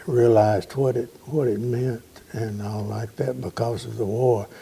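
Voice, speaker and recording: A man with a Southern US accent speaks at a fairly slow pace with a medium pitch. His tone is dark and mellow and somewhat breathy. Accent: Southern US (Georgia). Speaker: interviewee recalling family history. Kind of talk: oral history interview. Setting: at home.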